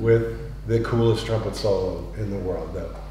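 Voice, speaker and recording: A man with an American accent at a moderate pace, amid noticeable background noise and audible room echo. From US, South Florida. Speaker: musician, workshop leader. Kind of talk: workshop talk to audience.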